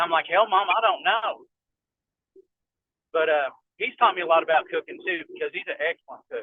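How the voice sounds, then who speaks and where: Speaking with a Kentucky accent at a fairly quick pace, a man leaves long, frequent pauses. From southeastern Kentucky. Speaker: firearms and medical instructor. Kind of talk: casual chat.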